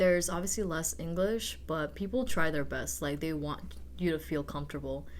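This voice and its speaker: Audible room echo surrounds the recording. A woman speaks at a moderate pace. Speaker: exchange student. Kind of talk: podcast interview. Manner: casual, filler-heavy.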